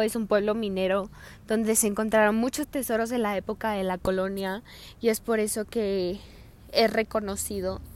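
A woman's fairly high voice moves fairly slowly, her intonation fairly even. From Hidalgo del Parral, Chihuahua, northern Mexico. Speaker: podcast host. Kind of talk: casual monologue. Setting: outdoors on the street. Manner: halting.

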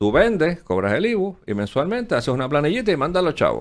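The man's pitch is high and swings very widely. He speaks at a fairly quick pace. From Puerto Rico. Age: 60s. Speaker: former finance secretary. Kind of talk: interview.

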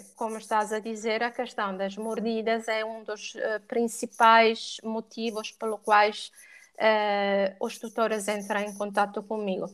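A woman speaks in a monotone, flat intonation at a fairly slow pace and fairly high pitch, in a very clean recording with a silent background. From Italy. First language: Italian (speaking Portuguese). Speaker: dog and cat behaviour educator. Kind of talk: podcast interview.

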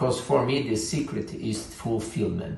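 Fairly low male voice in a Portuguese accent, moderate pace, audible room echo and music in the background. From Brazil. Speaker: leadership coach. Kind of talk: vlog monologue.

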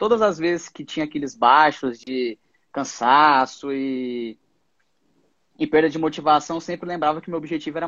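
A man speaks in a normal speaking voice. His pitch is fairly high and his pace moderate. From Goiás, Brazil. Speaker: radiology resident doctor. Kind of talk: interview on a live stream.

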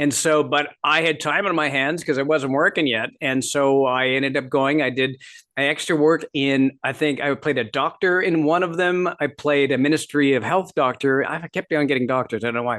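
With an American accent, this unremarkable speaking voice moves at a moderate pace with fairly even intonation and hardly any pauses. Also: man, fairly high pitch for a man. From Canada and US Midwest. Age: 50s. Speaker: author and stand-up comedian. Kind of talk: casual chat.

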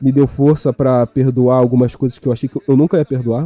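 Talking at a very fast pace, a man keeps his intonation fairly even at a medium pitch. The sound is dry and close with no echo. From Maranhão, Brazil. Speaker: podcast guest. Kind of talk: casual chat. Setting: live stream.

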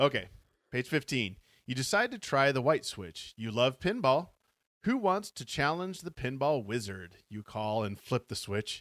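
In a very clean recording with a silent background and a dry, close sound with no echo, a man at a medium pitch speaks fairly slowly in a playful tone, with very wide pitch swings and big swings in loudness. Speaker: podcast host. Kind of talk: casual chat; dramatic narration. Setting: live stream. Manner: playful, laughs often; dramatic, expressive storyteller reading aloud.

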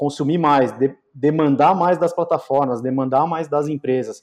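Against a quiet background, a man with an unremarkable speaking voice talks at a moderate pace. His pitch is fairly high, with ordinary variation. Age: 40s. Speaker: digital marketing agency CEO. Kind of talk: casual interview.

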